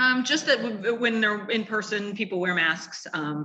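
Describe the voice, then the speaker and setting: A woman speaks with ordinary pitch variation. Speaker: nonprofit representative and university professor. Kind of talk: interview. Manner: fast.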